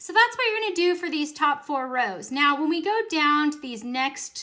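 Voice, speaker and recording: A woman's raised, projected voice rings with a bright, sharp tone, high in pitch and lively in intonation. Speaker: teacher. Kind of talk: tutorial. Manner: animated.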